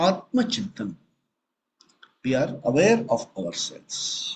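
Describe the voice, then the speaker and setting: Soft-spoken, a man talks at a very slow pace. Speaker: spiritual teacher. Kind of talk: spiritual discourse.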